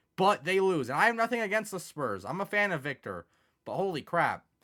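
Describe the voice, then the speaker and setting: A man's bright, sharp tone. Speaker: video game YouTuber. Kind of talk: gameplay commentary. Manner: fast; casual, filler-heavy.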